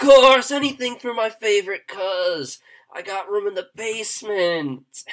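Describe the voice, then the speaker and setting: Putting on a loud character voice, a man speaks at a high pitch and a moderate pace. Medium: actual play. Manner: loud, jovial, overfamiliar.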